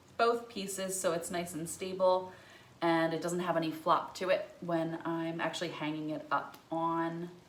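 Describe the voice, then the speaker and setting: In a room with audible echo, a woman speaks at a fairly low pitch. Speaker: florist / wreath maker. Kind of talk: tutorial. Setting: home breezeway. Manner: casual, chatty.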